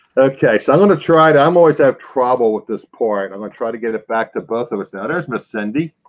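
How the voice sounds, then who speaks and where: A man with a Philadelphia accent talks very fast at medium pitch, with hardly any pauses. His intonation is lively and his loudness swings widely. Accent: Philadelphia accent, often taken for New York. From Philadelphia area, US Northeast. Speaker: reselling show host. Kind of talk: casual live-stream chat.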